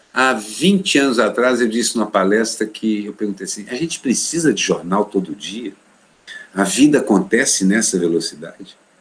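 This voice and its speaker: A man with a fairly low pitch, ordinary pitch variation and a moderate pace, amid noticeable background noise. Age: 60s. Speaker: cartoonist. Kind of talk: interview.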